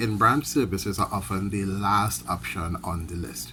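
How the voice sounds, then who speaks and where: A man with a fairly low pitch and vocal fry speaks at a moderate pace in a bright, sharp tone, his pitch swinging very widely. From Trinidad and Tobago. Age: 30s. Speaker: credit union worker. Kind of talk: prepared speech. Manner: formal.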